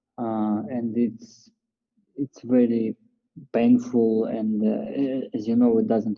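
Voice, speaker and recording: At a very slow pace, a man speaks with a non-native accent. His intonation stays fairly even. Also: medium pitch for a man. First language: not English. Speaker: call participant. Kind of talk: question in group call. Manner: halting.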